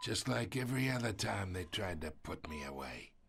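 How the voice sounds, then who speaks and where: Using a put-on character voice, a man growls at a very deep, low pitch with a raspy sound, very wide pitch swings and a moderate pace. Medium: video game. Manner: wry, knowing, laughing often.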